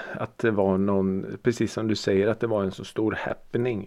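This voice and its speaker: This is a man's voice. Its tone is dark and mellow. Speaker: podcast host. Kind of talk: casual chat. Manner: occasional groans and sighs from back pain.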